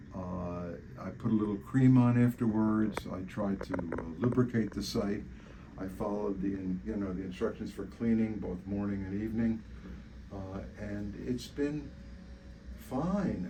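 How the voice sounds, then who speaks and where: Amid noticeable background noise, a man with a fairly low pitch talks fairly slowly with lively intonation. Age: 80s+. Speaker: patient. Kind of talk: interview answer. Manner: hesitant, many fillers.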